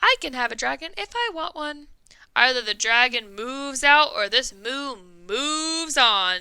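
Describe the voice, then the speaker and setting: A woman puts on a character voice pitched high. She keeps a moderate pace. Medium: read story.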